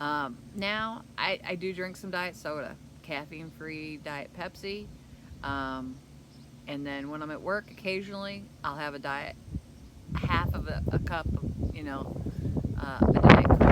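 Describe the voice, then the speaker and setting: A woman with a very deep, low pitch speaks at a fairly slow pace with long, frequent pauses, ordinary pitch variation and big swings in loudness. Audible room echo fills the recording. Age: 60s. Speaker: keto vlogger. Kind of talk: casual vlog talk. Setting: outdoors. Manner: halting.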